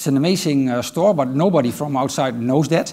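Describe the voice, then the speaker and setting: Against a quiet background, a man with a Dutch accent speaks at a moderate pace. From Netherlands. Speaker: IT manager; conference speaker. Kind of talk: conference talk. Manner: hesitant, many filler sounds. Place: stage. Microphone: headset.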